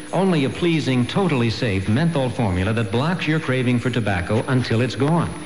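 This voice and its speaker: Talking at a fairly quick pace, a man is heard with audible room echo and light background noise. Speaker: commercial announcer. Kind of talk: radio commercial read. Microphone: old recording.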